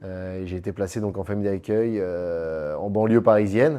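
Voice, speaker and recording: In a quiet background, a man speaks with a fairly low pitch, a dark, mellow tone and ordinary pitch variation. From Paris, France. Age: 30s. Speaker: entrepreneur. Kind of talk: interview.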